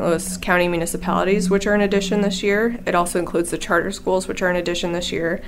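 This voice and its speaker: In an American accent, a woman talks at a very fast pace with a fairly low pitch and monotone, flat intonation, amid noticeable background noise and audible room echo. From Illinois. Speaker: data reporter. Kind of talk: casual interview.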